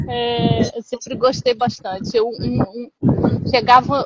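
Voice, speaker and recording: A woman with a Carioca accent speaks in a high voice, the sound dry and close with no echo. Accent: Brazilian, Carioca. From Brazil, Rio de Janeiro. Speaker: literary translator. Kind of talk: casual chat. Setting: video call.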